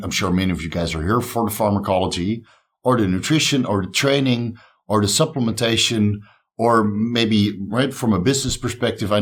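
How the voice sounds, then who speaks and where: With a Dutch accent, a man speaks at a medium pitch and a fairly quick pace, using ordinary pitch variation, on a very clean recording with a silent background. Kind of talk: conference talk.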